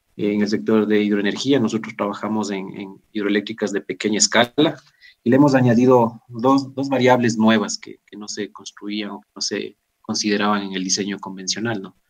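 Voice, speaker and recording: An unremarkable speaking voice with big swings in loudness. The pace is moderate and the intonation fairly even. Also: man, fairly low pitch for a man. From Ecuador. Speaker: agricultural engineer. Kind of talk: interview. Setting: remote connection. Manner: formal.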